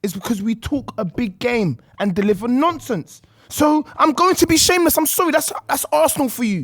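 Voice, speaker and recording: The speaker has a London accent and keeps a fairly quick pace. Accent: London, multicultural London English. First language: not English (Congolese background). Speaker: football podcast panelist. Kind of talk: heated debate. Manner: animated, interrupting.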